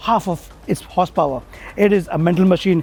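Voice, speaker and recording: A man is shouting in an animated tone. His pace is fairly quick. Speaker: motoring journalist. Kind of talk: car review. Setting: in a car.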